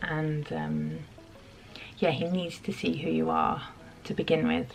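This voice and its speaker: Music plays in the background. A woman in a British accent speaks at a fairly slow pace. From UK. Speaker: vlogger. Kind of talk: casual chat.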